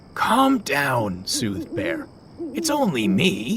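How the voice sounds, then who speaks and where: A man's put-on character voice, high in pitch and very slow, over clear background noise. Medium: read story.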